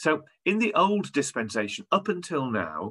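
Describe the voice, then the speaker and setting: Over a quiet background, a man's bright, sharp tone moves through very wide pitch swings. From northern England, York; northern England. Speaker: theology lecturer. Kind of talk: lecture. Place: home room. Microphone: video call.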